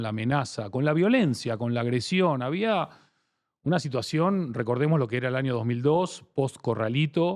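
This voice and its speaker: A man with a strong Argentine accent over a quiet background. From Argentina. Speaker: branding expert. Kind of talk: interview.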